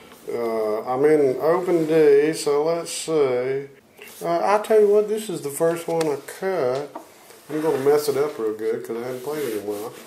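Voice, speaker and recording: A man with a Louisiana accent speaks at a moderate pace with a fairly high pitch and lively intonation. Audible room echo and noticeable background noise surround the voice. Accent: US Southern (Louisiana). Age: 60s. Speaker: blues guitarist. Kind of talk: interview. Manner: halting.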